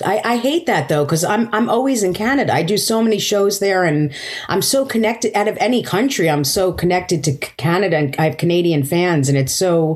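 Lively intonation and very even loudness at a fairly quick pace, over noticeable background noise. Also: woman. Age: 50s. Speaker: stand-up comedian. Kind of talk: casual chat.

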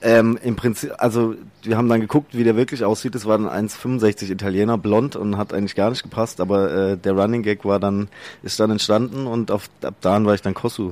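A man with an unremarkable speaking voice talks in a fairly low pitch with fairly even intonation at a moderate pace, in a very clean recording with a silent background. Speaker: social media comedian. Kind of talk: interview. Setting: studio.

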